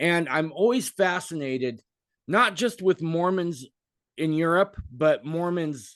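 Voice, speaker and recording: Against a quiet background, a man talks with high pitch and lively intonation. His pace is fairly slow. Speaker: podcast host. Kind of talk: casual interview. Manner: repetitive stammering.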